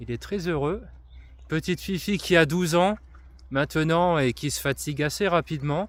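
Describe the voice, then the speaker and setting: Man's fairly high pitch with ordinary pitch variation, moderate pace and long, frequent pauses, on a very clean recording with a silent background. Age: 30s. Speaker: influencer and trail runner. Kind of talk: casual monologue to camera. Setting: outdoors walking on forest trails with dog. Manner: hesitant, many fillers.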